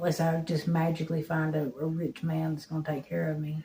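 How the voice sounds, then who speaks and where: A woman's very deep, low voice in an Appalachian accent, monotone and flat. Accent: Appalachian Southern US. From eastern Kentucky, Harlan County. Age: 40s. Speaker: recovering addict. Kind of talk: interview testimony.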